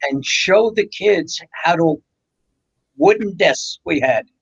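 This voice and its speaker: In a New York accent, a man speaks with a dry, close sound with no echo. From New York, the Bronx. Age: 70s. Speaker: radio co-host. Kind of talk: casual chat.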